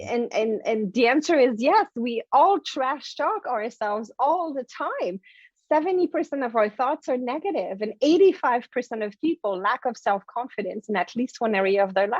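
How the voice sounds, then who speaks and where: With a French accent, a woman with a high pitch speaks at a moderate pace and makes very wide pitch swings. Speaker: motivational speaker and author. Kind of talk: interview. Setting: podcast. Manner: animated.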